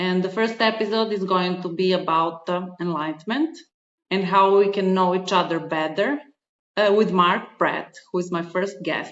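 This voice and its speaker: A woman with a non-native accent talks at a moderate pace and a medium pitch, with ordinary pitch variation. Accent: foreign. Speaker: podcast host and spiritual advisor. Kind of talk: podcast interview.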